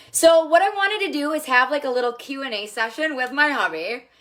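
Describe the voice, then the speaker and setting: A woman with an American accent speaks in a raised, projected voice at a high pitch and moderate pace. Her tone is animated, bright and sharp, and her intonation lively. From Minnesota, US Midwest. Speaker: makeup seller livestreamer. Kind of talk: live stream chat with husband. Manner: loud.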